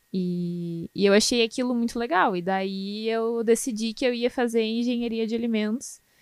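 An ordinary speaking voice from a woman, fairly high in pitch, with ordinary pitch variation, a moderate pace and hardly any pauses. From southern Brazil, Canoas near Porto Alegre. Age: 20s. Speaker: food quality analyst. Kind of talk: casual interview.

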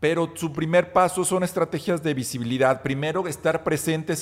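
An ordinary speaking voice moves along at a moderate pace. The pitch rises and falls in an ordinary way. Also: man. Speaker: marketing podcast co-host. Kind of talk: casual chat.

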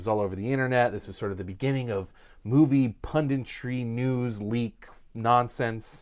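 On a very clean recording with a silent background, a man speaks in a plain, everyday voice at a moderate pace, medium pitch and fairly even intonation. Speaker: YouTube Star Wars talk show co-host. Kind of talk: casual banter podcast chat. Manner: casual, joking, hedging filler.

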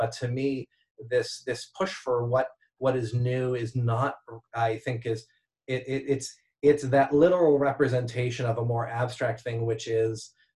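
This somewhat breathy voice has an American accent and fairly even intonation. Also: man. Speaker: event visualization artist. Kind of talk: casual chat.

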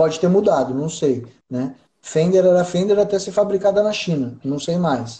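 The intonation is lively. The pace is moderate. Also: man, high pitch for a man. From interior of São Paulo state, Brazil (Mogi das Cruzes). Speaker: audio engineer. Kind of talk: casual interview.

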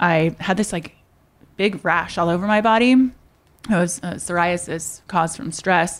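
At a fairly slow pace, a woman with an American accent speaks in an unremarkable speaking voice, pitched fairly low with ordinary pitch variation. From US Midwest, Indiana. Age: 30s. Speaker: fitness entrepreneur. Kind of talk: interview.

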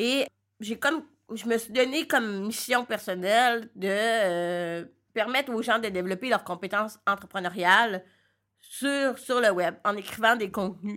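A woman with a fairly high pitch and ordinary pitch variation speaks on a very clean recording with a silent background. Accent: Quebec. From Quebec. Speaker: entrepreneur and blogger. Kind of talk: interview. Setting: recording studio in a coworking space.

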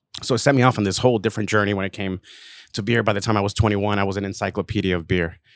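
With an American accent, a man talks at a very fast pace, his fairly low pitch held to fairly even intonation. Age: 30s. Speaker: craft beer brand manager. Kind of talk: casual chat.

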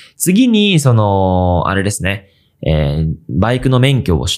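In an unremarkable speaking voice, a man with fairly low pitch uses lively intonation on a very clean recording with a silent background. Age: 20s. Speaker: video creator and podcast host. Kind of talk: casual solo podcast talk. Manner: casual, with many fillers.

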